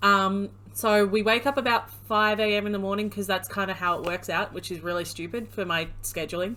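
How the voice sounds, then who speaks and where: A woman speaks at a fairly quick pace with a bright, sharp tone and an American accent. Her pitch is medium and her intonation fairly even. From Australia. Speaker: streamer. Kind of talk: casual chat.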